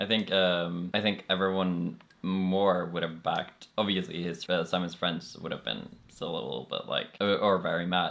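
In a Norwegian accent, a man with a very deep, low pitch speaks at a moderate pace with fairly even intonation. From Norway. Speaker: podcast guest. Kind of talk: casual chat.

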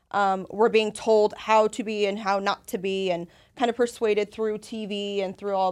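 A woman with an American accent speaks in a plain, everyday voice at medium pitch. Her intonation is fairly even, on a very clean recording with a silent background. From Las Vegas, US. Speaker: women's empowerment group founder. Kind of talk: casual chat.

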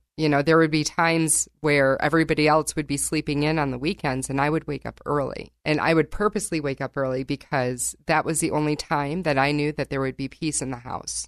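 A woman's very deep, low voice with vocal fry in an American accent, fairly quick with hardly any pauses, recorded dry and close with no echo against a quiet background. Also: fairly even intonation. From northern Michigan. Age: 40s. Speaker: health coach. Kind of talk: interview.

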